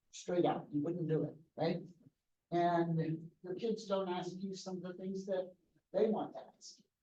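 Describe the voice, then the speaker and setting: A woman with a fairly low pitch and a dark, mellow tone speaks with fairly even intonation, long, frequent pauses and big swings in loudness. Audible room echo surrounds her voice. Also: fairly slow pace. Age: 70s. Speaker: engineering professor. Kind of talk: lecture. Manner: direct.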